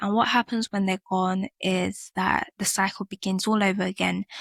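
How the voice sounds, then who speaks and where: A woman's medium-pitched voice with a British accent, monotone and flat in intonation, dry and close with no echo, on a very clean recording with a silent background. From UK. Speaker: podcast host. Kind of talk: personal reflective podcast monologue.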